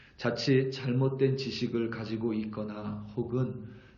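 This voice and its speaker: In a room with audible echo, a man speaks very slowly at medium pitch with monotone, flat intonation. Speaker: pastor. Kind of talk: sermon. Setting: church.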